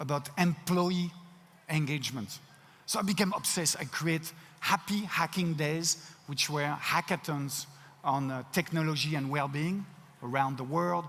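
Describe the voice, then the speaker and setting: This man has a fairly high voice and a French accent. He leaves long pauses, and often. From France. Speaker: keynote speaker, company CEO. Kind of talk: keynote talk. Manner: halting, frequent word repetitions.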